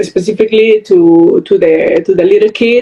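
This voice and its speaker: A woman talks at a very slow pace with a South American accent. Her pitch varies in an ordinary way. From Venezuela. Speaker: storyteller and interviewer. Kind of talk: interview. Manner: halting.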